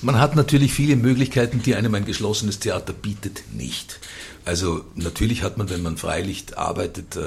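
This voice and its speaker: A man at a fairly low pitch with lively intonation, over noticeable background noise. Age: 60s. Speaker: theatre director. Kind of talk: radio interview.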